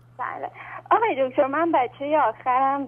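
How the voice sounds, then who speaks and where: Behind the voice, music is playing. A woman talks with ordinary pitch variation. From Iran, Tehran. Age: 20s. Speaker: caller. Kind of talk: phone-in question. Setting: phone call.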